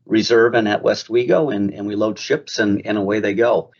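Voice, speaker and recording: With an American accent, it's a normal speaking voice that keeps fairly even intonation. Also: man. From Minnesota, US (Mankato). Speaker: grain company commercial leader. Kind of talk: podcast interview.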